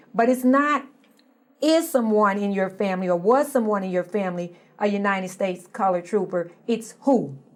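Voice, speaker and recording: At a moderate pace, a woman speaks at medium pitch with an American accent in an unremarkable speaking voice. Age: 60s. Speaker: social activist. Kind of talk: interview.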